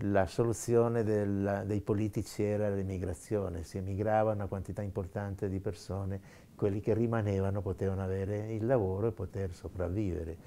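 With a fairly low pitch, a man speaks at a fairly quick pace in a flat, monotone way. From Trentino, northern Italy. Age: 70s. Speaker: professor and emigrant; professor. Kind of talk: interview testimony. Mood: calm, reflective. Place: home room.

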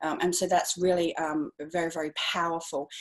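An enthusiastic woman with an Australian accent, a fairly low pitch and a moderate pace, against a quiet background. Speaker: speaking and publicity coach. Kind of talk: interview. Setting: video call. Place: home room. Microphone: earbuds.

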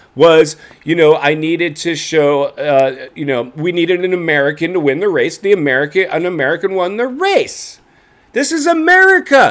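Moderate pace and lively intonation. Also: man. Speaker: motocross commentary host. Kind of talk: commentary. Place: home room.

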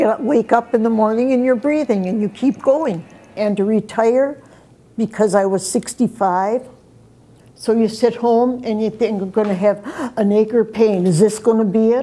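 At a moderate pace, a woman speaks in a dark, mellow tone with ordinary pitch variation. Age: 80s+. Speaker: receptionist. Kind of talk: interview answers and phone reception greetings. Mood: cheerful, firm. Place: office.

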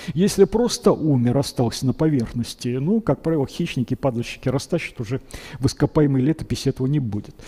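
Over a quiet background, a man with a fairly high pitch and a dark, mellow tone speaks at a very fast pace, somewhat breathy and with lively intonation. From Russia, Kuibyshev (Samara); Russia. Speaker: paleontologist, biology professor; biology professor. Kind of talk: public lecture. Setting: museum lecture hall with audience. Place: hall.

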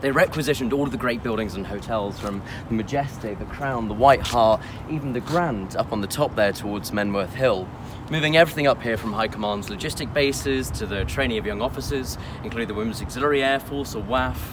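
A man's very fast speech over noticeable background noise. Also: ordinary pitch variation, dry sound with no echo. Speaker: presenter. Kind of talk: history presentation to camera. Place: open country.

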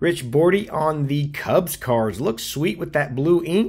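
With an American accent, a man speaks in a fairly high, somewhat breathy voice, his tone animated and his pitch swinging very widely. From US South, Nashville, Tennessee. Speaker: YouTuber, autograph collector. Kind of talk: casual hobby video, showing mail returns. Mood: pleased, upbeat. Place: home room.

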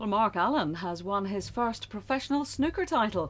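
Vocal fry marks a woman's voice at a moderate pace. Her pitch swings very widely. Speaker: television news presenter. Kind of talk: TV news reading. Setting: TV studio. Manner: crisp, measured and formal newsreader delivery.

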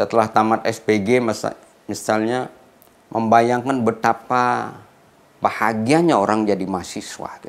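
A man speaks at a fairly slow pace with fairly even intonation but big swings in loudness. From Bali, Gianyar; Bali, Indonesia. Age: 60s. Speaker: professor; professor profiled. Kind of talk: interview; interview answer. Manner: hesitant with fillers. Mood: calm, reflective. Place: studio.

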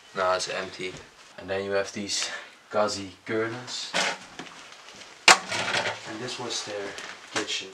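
A man speaks at a fairly slow pace with long, frequent pauses. Loud background noise runs underneath. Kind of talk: casual vlog chat. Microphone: phone near.

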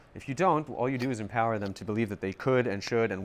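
A man with a New York accent talks very fast, his pitch varying in an ordinary way, against light background noise. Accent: New York American. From US, Long Island, New York. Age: 30s. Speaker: wounded soldier and marketing executive. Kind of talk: interview. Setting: rehab center at a hospital. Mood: serious, reflective. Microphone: lapel.

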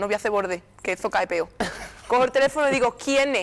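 A woman talks at a very fast pace in a fairly high pitch. Her tone is animated and her intonation lively. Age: 20s. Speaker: copla singer; interview guest. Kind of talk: TV interview. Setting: TV studio with audience. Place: studio. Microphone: lapel.

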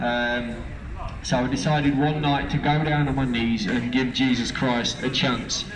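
Speaking at a fairly slow pace with an East Midlands accent, a man keeps his intonation fairly even and his loudness very even over noticeable background noise. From Lincolnshire, eastern England. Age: 30s. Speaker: street preacher. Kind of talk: testimony. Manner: halting. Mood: earnest, fervent. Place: street. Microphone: handheld.

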